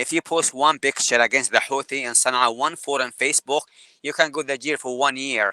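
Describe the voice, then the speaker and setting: Fairly high-pitched and bright, sharp in tone, this man talks at a fairly quick pace with fairly even intonation in a dry, close sound with no echo. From Yemen. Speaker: wildlife photographer, deportee. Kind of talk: interview. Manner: halting, repeats words.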